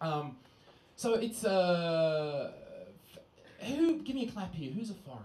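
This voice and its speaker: Amid audible room echo and noticeable background noise, a man with an Australian accent speaks fairly slowly with lively intonation. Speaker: stand-up comedian. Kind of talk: stand-up. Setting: stage with audience.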